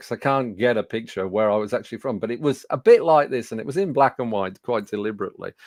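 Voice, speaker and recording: Heard in a dry, close sound with no echo, a man speaks with a Birmingham accent and lively intonation. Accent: Birmingham (Brummie) English. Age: 60s. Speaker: business speaking coach. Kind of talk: webinar presentation. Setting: studio. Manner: conversational with frequent fillers.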